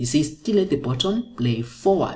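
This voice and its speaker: A somewhat breathy woman at a fairly slow pace, with lively intonation. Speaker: maths teacher. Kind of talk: tutorial.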